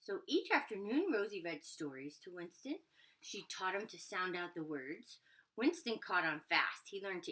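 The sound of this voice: The voice heard is an unforced reading voice.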